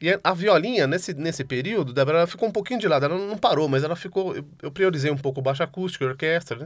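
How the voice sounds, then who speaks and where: In a very clean recording with a silent background, a man talks at a very fast pace with a high pitch and ordinary pitch variation. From Brazil, São Paulo city. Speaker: multi-instrumentalist musician. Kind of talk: interview. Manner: halting.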